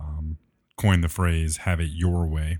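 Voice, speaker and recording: In a very clean recording with a silent background, a man with a very deep, low pitch talks at a fairly slow pace in a monotone, flat intonation. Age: 20s. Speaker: church tech and production minister. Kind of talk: interview conversation.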